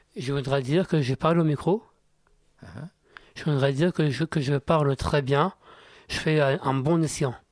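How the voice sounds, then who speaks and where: Fairly high male voice with ordinary pitch variation, a fairly slow pace and long, frequent pauses, in a dry, close sound with no echo and a very clean recording with a silent background. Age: 30s. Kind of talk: radio interview. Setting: radio studio. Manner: halting, repetitive.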